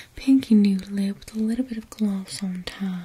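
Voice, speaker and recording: Soft-spoken and fairly slow, a woman talks with fairly even intonation over light background noise. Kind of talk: soft roleplay talk to viewer. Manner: soft close ASMR voice, southern accent. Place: home room.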